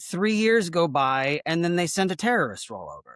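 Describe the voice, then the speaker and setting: An animated voice with an American accent at a moderate pace, on a very clean recording with a silent background. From Texas. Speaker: actor. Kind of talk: casual chat.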